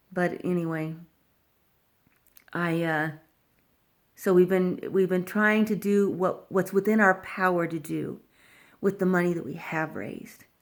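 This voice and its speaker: A woman speaks fairly slowly at a medium pitch, with fairly even intonation and long, frequent pauses. The recording is very clean, with a silent background. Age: 60s. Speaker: cancer patient vlogger. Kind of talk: personal video update. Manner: halting.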